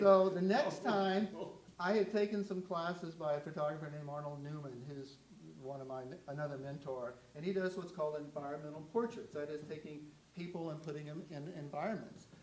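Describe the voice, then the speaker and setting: Over noticeable background noise and audible room echo, a man speaks at a fairly quick pace in a fairly high pitch with ordinary pitch variation and big swings in loudness. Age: 70s. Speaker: photographer. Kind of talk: artist talk with audience Q&A. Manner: halting.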